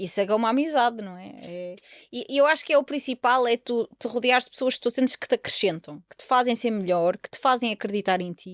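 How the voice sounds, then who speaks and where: With lively intonation and big swings in loudness, a woman speaks fairly quickly and fairly high with hardly any pauses, in a very clean, silent-background recording with dry, close sound and no echo. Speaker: podcast host. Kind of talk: casual chat. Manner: animated.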